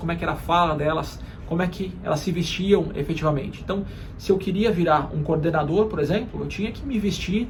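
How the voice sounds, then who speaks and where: Over noticeable background noise and audible room echo, a man with a high pitch talks at a very fast pace with ordinary pitch variation. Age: 30s. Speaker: marketing executive and career YouTuber. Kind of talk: motivational career talk to camera. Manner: frequent hesitation fillers.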